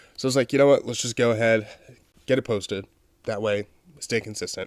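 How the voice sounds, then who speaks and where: Delivered at a very fast pace with fairly even intonation, the speech has a dry, close sound with no echo. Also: man, medium pitch for a man. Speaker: comic book podcast host. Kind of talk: casual solo podcast review.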